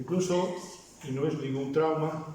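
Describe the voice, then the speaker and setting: With a Basque accent, a man speaks at a fairly high pitch and with fairly even intonation, amid noticeable background noise and audible room echo. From Basque Country. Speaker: pastor. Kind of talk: sermon. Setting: church.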